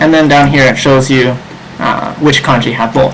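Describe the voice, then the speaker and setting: A man with a medium-pitched voice talks at a fairly quick pace with ordinary pitch variation, while audible room echo and noticeable background noise come through. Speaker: online Japanese tutor. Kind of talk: live online seminar. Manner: fast; hesitant, many fillers.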